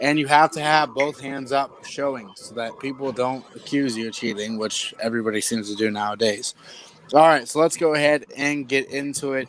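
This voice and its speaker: This man talks at a medium pitch, with ordinary pitch variation and big swings in loudness. Noticeable background noise is present. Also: moderate pace. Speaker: trivia quiz host. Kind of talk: game show hosting. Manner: casual, not announcer voice.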